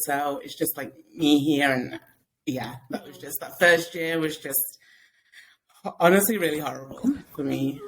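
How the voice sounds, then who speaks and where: Her pitch is very deep and low, with ordinary variation. This woman speaks at a moderate pace. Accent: English. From England. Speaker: podcast guest, mom blogger. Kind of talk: casual chat.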